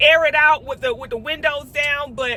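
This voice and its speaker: At a moderate pace, a woman projects a raised voice with an animated tone and lively intonation. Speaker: vlogger. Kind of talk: casual chat. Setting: in a car. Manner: loud.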